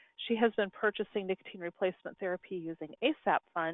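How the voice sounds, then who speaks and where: A woman talks at a fairly quick pace and fairly low pitch. Her intonation stays fairly even. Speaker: state public health program coordinator. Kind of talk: conference call moderation. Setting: conference call. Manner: soft-spoken.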